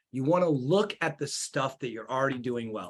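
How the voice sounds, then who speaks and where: This man has a fairly high pitch and a bright, sharp tone. He talks at a fairly quick pace. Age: 30s. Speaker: marketing agency owner. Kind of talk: interview. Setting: live stream. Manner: fast.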